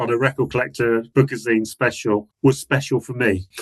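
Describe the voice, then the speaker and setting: With an English accent, a man speaks at a fairly quick pace and with fairly even intonation. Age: 60s. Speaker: music author. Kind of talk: casual chat. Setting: video call.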